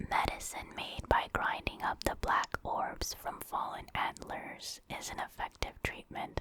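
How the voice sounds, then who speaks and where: Over noticeable background noise comes a very slow whisper. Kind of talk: ASMR whispered reading.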